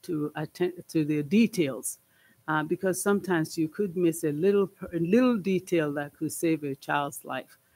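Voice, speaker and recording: A man with a non-native accent, a fairly high pitch, ordinary pitch variation and a fairly slow pace. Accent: foreign. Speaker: school board trustee. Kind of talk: board meeting report. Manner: halting, many fillers. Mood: heartfelt, grateful. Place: meeting room. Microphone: podium.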